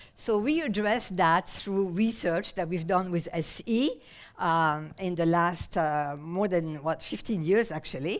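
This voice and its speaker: A French accent at a fairly slow pace, with ordinary pitch variation, on a very clean recording with a silent background. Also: woman, fairly low pitch for a woman. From France, Paris. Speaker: somatic therapist and researcher. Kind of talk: conference talk. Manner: halting, many fillers.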